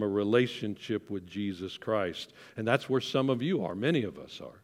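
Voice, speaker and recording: A plain, everyday voice from a man at medium pitch, with ordinary pitch variation and a moderate pace. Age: 60s. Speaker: senior minister. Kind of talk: sermon. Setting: church.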